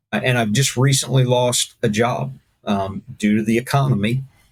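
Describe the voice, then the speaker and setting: Music plays behind the speech. A man talks with ordinary pitch variation. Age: 60s. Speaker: first responder and mission worker. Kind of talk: casual chat. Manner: halting.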